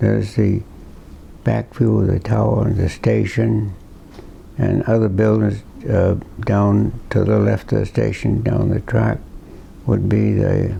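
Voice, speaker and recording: A man's voice at a fairly slow pace, very even in loudness, with long, frequent pauses and noticeable background noise. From Slocum, Rhode Island. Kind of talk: interview answer. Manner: hesitant, reminiscing.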